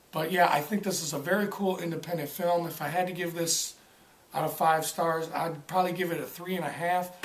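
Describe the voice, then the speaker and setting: Speaking at a moderate pace, a man has a high pitch and monotone, flat intonation. Noticeable background noise and audible room echo surround him. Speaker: film reviewer. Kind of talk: casual film review vlog. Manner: halting, many fillers and stutters.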